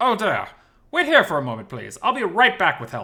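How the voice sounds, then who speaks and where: A man's put-on character voice, high-pitched and fairly quick. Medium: read story. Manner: stuttering, flustered.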